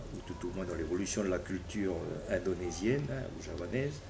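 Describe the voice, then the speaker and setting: A man's somewhat breathy voice at a moderate pace, with ordinary pitch variation and audible room echo. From New Caledonia (Koné region). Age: 60s. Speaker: politician. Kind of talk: interview. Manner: halting, many hesitations.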